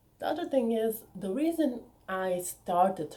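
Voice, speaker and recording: A woman with a Bulgarian accent speaks in a dark, mellow, somewhat breathy tone with lively intonation. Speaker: author and YouTuber. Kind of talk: casual vlog talk. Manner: animated.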